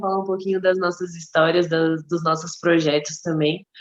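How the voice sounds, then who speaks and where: Speaking at a moderate pace, a woman has an unremarkable speaking voice with a fairly low pitch. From Brazil, Mato Grosso. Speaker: podcast co-host. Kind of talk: casual chat.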